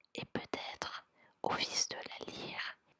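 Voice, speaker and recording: Very slow whispering with a dry, close sound and no echo. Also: woman. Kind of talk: poetry reading. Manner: whispered.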